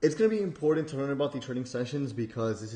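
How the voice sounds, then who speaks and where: A somewhat breathy male voice with a dark, mellow tone. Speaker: trading educator. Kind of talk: tutorial. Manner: casual with many fillers.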